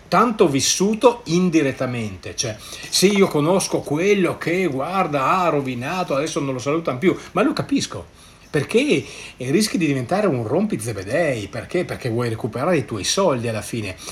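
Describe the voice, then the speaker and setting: Over noticeable background noise, a man speaks at a moderate pace with a fairly high pitch and very wide pitch swings. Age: 60s. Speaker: network marketer and podcaster. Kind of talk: solo podcast monologue. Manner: hesitant, stumbling over words.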